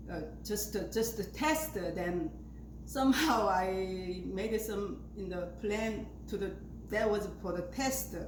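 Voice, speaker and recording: A woman with an Asian accent speaks at a fairly slow pace, with noticeable background noise and audible room echo. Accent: non-native Asian. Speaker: flower arranging video maker. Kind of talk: tutorial. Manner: halting, many fillers.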